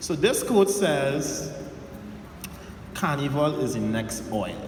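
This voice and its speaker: A man with a Trinidadian accent speaks at a fairly high pitch with lively intonation, against noticeable background noise and audible room echo. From Trinidad and Tobago. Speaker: entrepreneur and workshop speaker. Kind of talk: motivational talk to an audience. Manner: casual, conversational.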